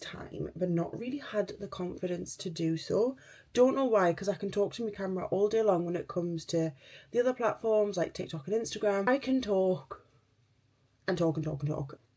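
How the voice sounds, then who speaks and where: A woman with a Geordie accent speaks at a moderate pace in a dark, mellow tone, her medium pitch showing ordinary variation. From northern England, Newcastle. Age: 30s. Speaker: beauty vlogger. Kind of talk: casual chat.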